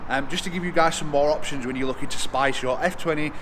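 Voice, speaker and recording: Noticeable background noise sits behind a man's voice. He talks at a fairly quick pace with fairly even intonation. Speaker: car vlogger. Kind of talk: casual vlog chat. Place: garage. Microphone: phone near.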